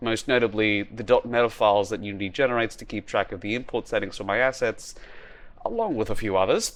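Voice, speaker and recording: Keeping his intonation fairly even, a man rattles off his words at a very fast pace. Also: medium pitch for a man. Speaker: indie game developer. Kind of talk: devlog narration.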